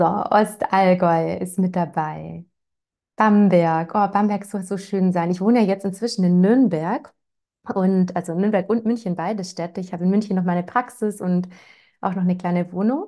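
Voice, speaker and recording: Against a quiet background, a woman speaks in a dark, mellow tone with fairly even intonation at a moderate pace. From Swabia, Germany (Ravensburg area, Lake Constance); Swabia. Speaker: parenting educator; parenting coach hosting webinar. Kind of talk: webinar, casual welcome chat. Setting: live online webinar. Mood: warm, cheerful. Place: home room. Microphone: lapel.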